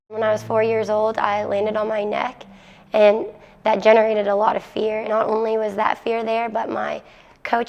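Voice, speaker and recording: This woman speaks fairly quickly. Behind her there is noticeable background noise. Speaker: college gymnast. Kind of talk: interview soundbite.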